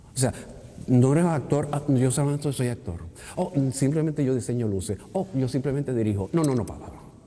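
A man of medium pitch talks at a fairly quick pace. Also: ordinary pitch variation. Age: 60s. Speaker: retired theatre technical director and actor; actor. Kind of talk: interview. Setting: theatre lobby. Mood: relaxed, anecdotal storytelling. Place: hall.

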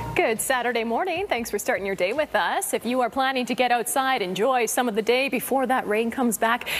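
A high-pitched woman in an upbeat tone, at a fairly quick pace with hardly any pauses and ordinary pitch variation, over background music. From Canada. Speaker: TV weather presenter. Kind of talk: TV weather forecast. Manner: upbeat, friendly. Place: studio.

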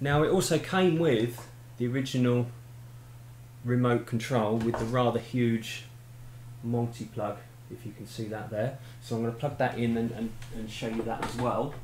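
A somewhat breathy man speaks with fairly even intonation and long, frequent pauses. Audible room echo and light background noise surround him. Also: moderate pace. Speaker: hobbyist demonstrating equipment. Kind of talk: tutorial. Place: home room.

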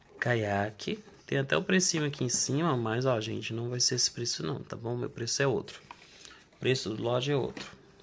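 In an animated tone, a man speaks at a moderate pace with lively intonation over light background noise. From Brazil. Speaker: online reseller. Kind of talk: street-seller style sales pitch, unboxing and product showcase. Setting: home video, unboxing to camera. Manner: animated, pitchy, hawking products with a chatty direct-to-camera patter; repeatedly addresses the audience as 'gente' and pushes bargains. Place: home room. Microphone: phone near.

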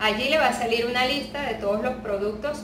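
A woman speaks in a high pitch with ordinary pitch variation amid noticeable background noise. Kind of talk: tutorial. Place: home room.

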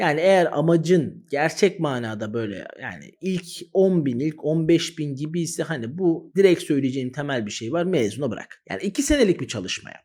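An unremarkable speaking voice from a man, fairly high in pitch, with lively intonation, big swings in loudness and a moderate pace, on a very clean recording with a silent background. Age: 30s. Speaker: exam-prep teacher, YouTuber. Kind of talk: direct-to-camera advice talk.

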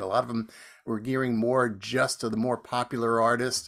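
A man with an American accent, moderate pace, quiet background. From New Jersey. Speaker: folk radio host. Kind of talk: casual chat. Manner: halting.

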